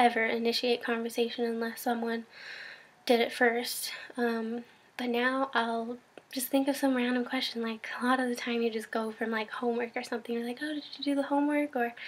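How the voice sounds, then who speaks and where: This woman's voice is high-pitched and monotone, with flat intonation. She talks at a fairly quick pace. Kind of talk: casual talk to camera. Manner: hesitant, many filler words.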